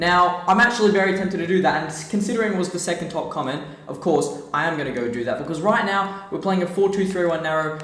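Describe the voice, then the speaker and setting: A man with an Australian accent speaks very fast in an animated tone at a high pitch, with audible room echo and noticeable background noise. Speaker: gaming YouTuber. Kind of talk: gameplay commentary.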